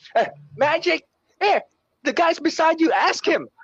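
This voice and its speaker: A man with a Filipino accent is heard in a dry, close sound with no echo. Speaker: radio veteran. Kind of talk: casual chat.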